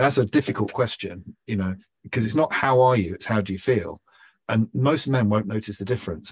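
In a London accent, a man with a fairly low pitch speaks at a moderate pace with fairly even intonation, the sound dry and close with no echo. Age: 50s. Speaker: entrepreneur. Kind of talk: podcast interview.

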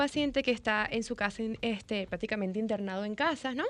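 A woman with a Dominican accent talks at a fairly quick pace with ordinary pitch variation. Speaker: nutrition doctor. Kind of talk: expert interview.

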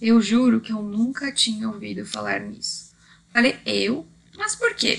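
A woman with a Brazilian accent speaks at a fairly slow pace. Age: 30s. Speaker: Reiki master and podcaster. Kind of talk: scripted narration.

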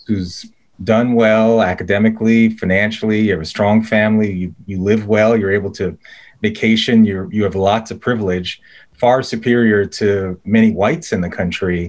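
A man talks at a moderate pace in a plain, everyday voice, fairly low in pitch with fairly even intonation. The recording is very clean, with a silent background. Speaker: podcast host, think tank fellow. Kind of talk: interview hosting.

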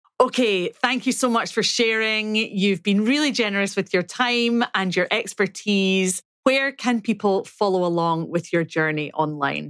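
In an east coast Scottish accent, a woman speaks at a fairly slow pace and medium pitch with ordinary pitch variation, hardly any pauses and very even loudness, on a very clean recording with a silent background. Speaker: podcast host. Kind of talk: casual interview chat.

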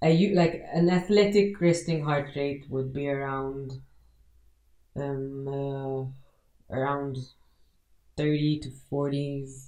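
A very slow woman's voice, very deep and low, dark and mellow in tone, with ordinary pitch variation, long, frequent pauses and audible room echo. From Malta, Marsaxlokk. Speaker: CrossFit athlete and coach. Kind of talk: casual interview.

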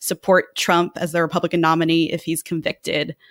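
A woman talks at a fairly quick pace in an ordinary speaking voice. Her pitch is fairly low, and the recording is very clean with a silent background. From Texas, San Antonio. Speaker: political analyst. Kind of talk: casual political analysis chat.

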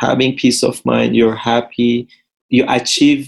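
Medium-pitched male speech in a Persian accent at a fairly slow pace. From Iran. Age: 30s. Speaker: real estate developer and former footballer. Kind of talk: interview.

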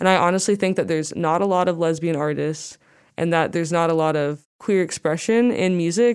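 A woman talks fairly quickly in a fairly low voice, her loudness very even. The recording is very clean with a silent background. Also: ordinary pitch variation. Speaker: university student and singer-songwriter. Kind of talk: casual interview chat.

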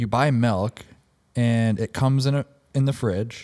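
A man of medium pitch speaks at a fairly slow pace in a dark, mellow tone, captured in a very clean recording with a silent background. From Minnesota. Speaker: cannabis product expert. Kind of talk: casual podcast chat.

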